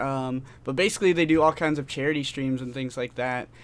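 Here a man talks with fairly even intonation. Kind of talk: casual chat.

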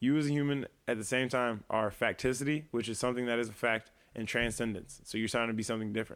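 In a very clean recording with a silent background, a man with an American accent talks at a very fast pace, medium pitch and fairly even intonation. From US Midwest, Quad Cities (East Moline, Illinois). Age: 20s. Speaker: musician. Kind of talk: casual chat.

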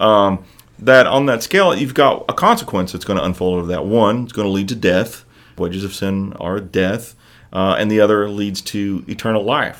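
The speaker has an American accent, ordinary pitch variation and a moderate pace. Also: man, fairly low pitch for a man. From US Midwest, Evansville, Indiana. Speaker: preacher. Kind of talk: casual chat. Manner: animated.

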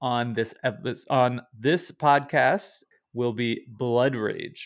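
A man at medium pitch with an ordinary speaking voice and ordinary pitch variation. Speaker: podcast host. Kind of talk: casual podcast discussion.

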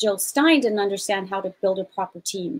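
A woman talks in an ordinary speaking voice with an American accent. Her pitch is medium, with ordinary pitch variation. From Switzerland and Germany, also US. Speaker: business founder and activist. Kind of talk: casual chat.

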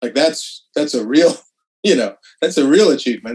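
It's a plain, everyday voice from a man with a fairly high pitch. He talks at a moderate pace with lively intonation. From Canadian Prairies, Saskatoon. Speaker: TV writer and actor. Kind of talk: casual interview.

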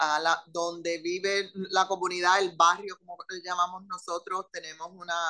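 Here a woman speaks at a fairly slow pace. Her pitch sits fairly low. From Puerto Rican, raised in Philadelphia. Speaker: politician. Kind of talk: interview.

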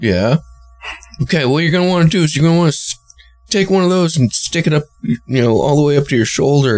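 A man speaks in a fairly high voice with lively intonation. Music plays in the background, and the sound is dry and close with no echo. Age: 30s. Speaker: podcast co-host. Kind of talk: casual chat.

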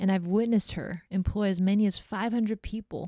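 With a Californian accent, a woman speaks at a fairly quick pace in a monotone, flat intonation and a dark, mellow tone. The sound is dry and close with no echo, on a very clean recording with a silent background. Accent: Californian American. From Hong Kong, then San Francisco from age eight. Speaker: podcast host and social enterprise director. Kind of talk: personal storytelling monologue.

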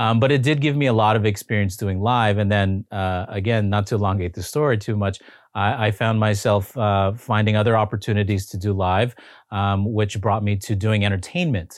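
An ordinary speaking voice from a man with a Canadian accent, fairly low in pitch, fairly quick, with fairly even intonation. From Canada, Toronto. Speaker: former chef turned TV host, foundation founder. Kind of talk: interview, personal testimony.

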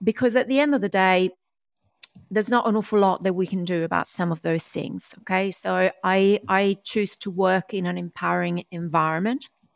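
A woman with an unremarkable speaking voice talks at a moderate pace and medium pitch, using ordinary pitch variation. The sound is dry and close, with no echo. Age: 40s. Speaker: DNA-based performance mentor and author. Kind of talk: interview. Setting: video call.

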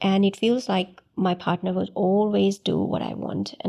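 Soft-spoken and calm in tone, a woman talks. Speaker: counselor. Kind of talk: casual interview chat. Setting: studio. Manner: calm, soft-spoken.

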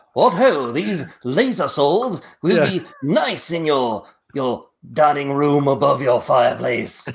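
A man's put-on character voice, fairly high in pitch, with lively intonation. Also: fairly slow pace. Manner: grand, theatrical.

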